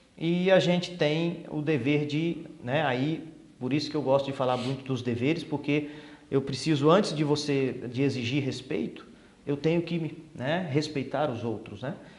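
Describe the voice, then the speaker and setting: At a fairly slow pace, a man with a fairly high pitch keeps his intonation fairly even, with audible room echo. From Brasília, Brazil. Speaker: police chief. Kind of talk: interview.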